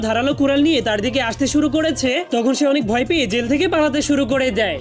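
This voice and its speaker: Music plays behind a man whose extremely high voice keeps a fairly even intonation. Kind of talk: cartoon recap narration.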